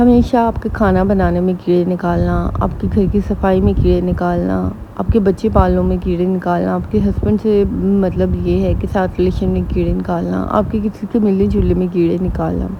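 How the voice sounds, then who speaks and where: A woman speaks quietly. Noticeable background noise runs under her voice. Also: hardly any pauses. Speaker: vlogger giving family advice. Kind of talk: casual advice vlog. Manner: slow.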